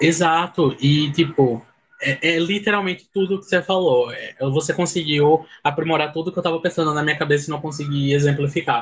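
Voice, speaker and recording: A man with a normal speaking voice, fairly high-pitched, at a moderate pace with fairly even intonation. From Pernambuco, Brazil (sertão). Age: 20s. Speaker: law student, fan club admin. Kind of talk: casual chat.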